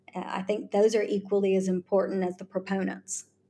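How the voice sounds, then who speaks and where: A woman speaks at a moderate pace with an American accent. Her voice is somewhat breathy. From US South, Charleston, South Carolina. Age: 40s. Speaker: lawyer and tech executive. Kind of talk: interview.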